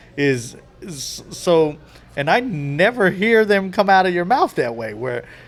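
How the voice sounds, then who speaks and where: Fairly slow speech in an American accent, the pitch swinging very widely, with music in the background. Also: man, high pitch for a man. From California, Bay Area. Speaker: podcast host, comedian. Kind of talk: casual chat.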